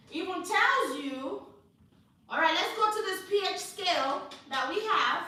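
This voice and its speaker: Projecting a raised voice at an extremely high pitch, a woman talks at a fairly slow pace with an animated tone, very wide pitch swings, long and frequent pauses, and audible room echo. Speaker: hair care instructor. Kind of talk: live class lecture.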